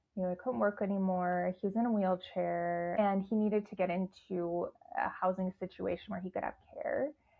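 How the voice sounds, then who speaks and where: A woman with a Midwestern accent at a moderate pace. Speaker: guest sharing sobriety and leadership story. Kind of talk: podcast interview.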